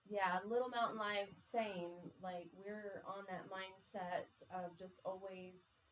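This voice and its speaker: The woman speaks very quietly at a medium pitch. Her delivery is very slow, with a monotone, flat intonation. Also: big swings in loudness. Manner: quiet, hard to hear.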